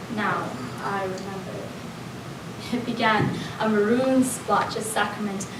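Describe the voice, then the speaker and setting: A woman talks at a fairly slow pace with a fairly high pitch and fairly even intonation. Noticeable background noise can be heard. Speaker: spoken word poet. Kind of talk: spoken word poetry performance. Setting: live event.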